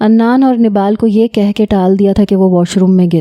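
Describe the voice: The intonation is fairly even throughout. It is plain reading aloud.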